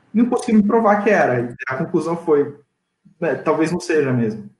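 This man's fairly high voice carries vocal fry and very wide pitch swings at a moderate pace. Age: 20s. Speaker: M&A advisor. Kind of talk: interview. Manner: casual.

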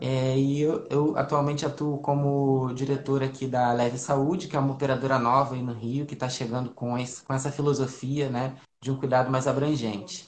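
A man speaks in monotone, flat intonation at a medium pitch, with hardly any pauses. His voice is somewhat breathy and his pace moderate. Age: 40s. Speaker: family doctor. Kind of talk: health Q&A interview. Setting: Instagram live video call.

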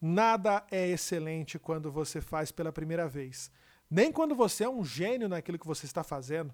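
On a very clean recording with a silent background, a man with a high pitch talks at a moderate pace. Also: ordinary pitch variation. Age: 30s. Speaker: podcast host and TV/radio broadcaster. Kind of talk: motivational monologue.

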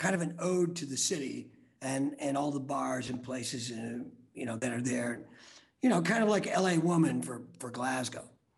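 A man speaks at a moderate pace with lively intonation. His voice carries vocal fry. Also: medium pitch for a man. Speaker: rock band singer. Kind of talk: casual interview chat.

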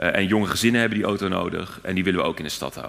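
Pitched fairly low, this man has an unremarkable speaking voice and ordinary pitch variation. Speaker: city alderman. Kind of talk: live panel interview. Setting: stage with audience.

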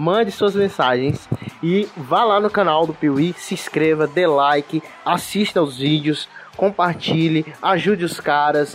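With music playing in the background, a man speaks at a fairly slow pace in a fairly high pitch, his pitch varying in an ordinary way. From Brazil, interior of Pernambuco. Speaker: podcast host. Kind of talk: casual chat.

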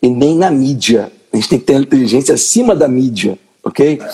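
A man's voice, dark and mellow in tone, fairly high in pitch. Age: 40s. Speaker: podcast host. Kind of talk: live-stream interview.

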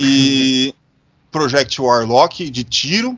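A man speaks with a medium pitch. His intonation is lively. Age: 30s. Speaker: podcast host. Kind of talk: casual chat. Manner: animated.

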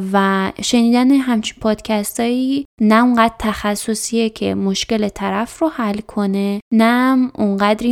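Using an ordinary speaking voice, a woman talks at a fairly high pitch with fairly even intonation. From Iran, Chaharmahal and Bakhtiari. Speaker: podcast host. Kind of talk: scripted narration.

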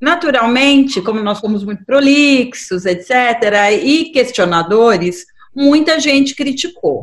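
The speech moves at a very slow pace, with very wide pitch swings. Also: woman. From Brazil, São Paulo (born in Fortaleza). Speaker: human rights activist, project coordinator. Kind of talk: radio interview.

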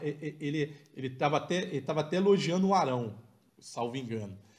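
At a moderate pace, a man with a plain, everyday voice talks with lively intonation. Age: 40s. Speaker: football podcast co-host. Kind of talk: live match analysis chat.

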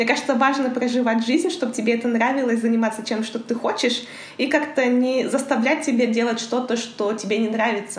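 There is noticeable background noise along with audible room echo. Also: woman, high pitch for a woman. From Kazakhstan, Karaganda. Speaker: international trade professional. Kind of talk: interview.

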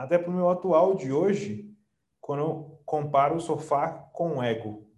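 A man speaks in a fairly high pitch with lively intonation at a moderate pace. Audible room echo surrounds his voice. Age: 30s. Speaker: digital marketing strategist. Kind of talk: interview. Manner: animated; confident, emphatic.

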